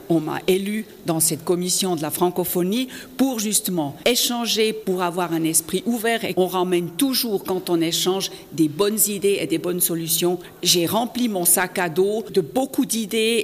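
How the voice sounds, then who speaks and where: Over noticeable background noise, a woman with a German accent speaks fairly slowly at medium pitch with ordinary pitch variation. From Switzerland, canton of Fribourg. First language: German (speaking French). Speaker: politician. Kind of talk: interview. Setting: parliament building.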